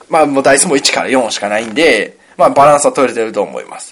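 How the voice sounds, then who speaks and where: A man talking at a very fast pace. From Kansai, Himeji area (Hyogo). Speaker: podcast co-host, board game designer. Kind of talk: casual chat with board game explanation.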